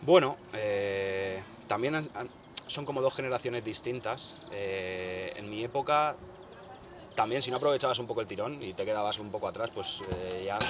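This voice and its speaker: With noticeable background noise present, a man talks at a medium pitch and moderate pace, using ordinary pitch variation. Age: 30s. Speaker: rapper. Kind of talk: interview.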